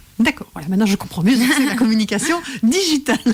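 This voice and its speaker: A woman with an unremarkable speaking voice, fairly high pitch, and lively intonation. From Belgium. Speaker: professional coach and radio host. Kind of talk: radio interview host.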